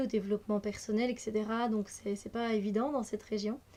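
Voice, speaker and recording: Her voice is fairly high for a woman, dark and mellow in tone, with a monotone, flat intonation. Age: 30s. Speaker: energy healer and card reader. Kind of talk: casual vlog self-introduction. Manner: hesitant, many fillers.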